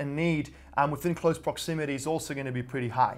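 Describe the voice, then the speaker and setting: Very fast speech from a man in an Australian accent, fairly high in pitch with fairly even intonation, on a very clean recording with a silent background. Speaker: real estate investor and vlogger. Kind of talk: vlog monologue. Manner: casual, filler-heavy.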